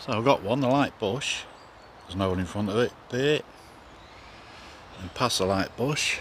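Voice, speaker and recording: A man's medium-pitched voice at a moderate pace, with ordinary pitch variation, long, frequent pauses and noticeable background noise. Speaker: angler vlogger. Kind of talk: casual vlog. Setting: outdoors.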